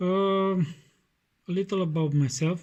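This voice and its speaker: A man talks with a Romanian accent and ordinary pitch variation. His tone is dark and mellow. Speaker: knife sharpening YouTuber. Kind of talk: tutorial. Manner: halting, many fillers.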